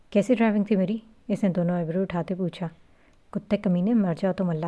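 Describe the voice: The text is read aloud plainly, and the intonation stays fairly level.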